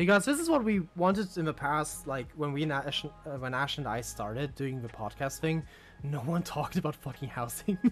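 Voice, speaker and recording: Background music is playing. The talking is fairly quick. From Europe. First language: not English (English is third language). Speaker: livestream co-host. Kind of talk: casual chat. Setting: live stream. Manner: halting, searching for words.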